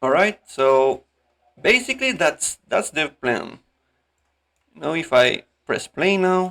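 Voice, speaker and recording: With a non-native accent, a man talks at a very slow pace in a high, bright, sharp voice, his pitch swinging very widely and his loudness swinging a lot, broken by long, frequent pauses. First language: not English. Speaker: animator, tutorial creator. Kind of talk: tutorial. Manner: halting; casual.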